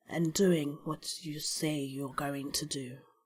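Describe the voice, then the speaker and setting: A woman puts on a character voice with a very deep, low pitch. She speaks fairly slowly in a flat monotone. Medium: actual play. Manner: terse, businesslike.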